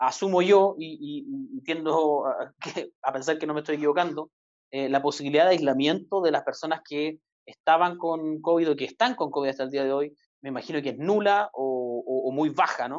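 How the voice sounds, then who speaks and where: A man talks at a moderate pace in an ordinary speaking voice with ordinary pitch variation. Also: fairly high pitch for a man. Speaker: podcast host. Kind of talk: interview.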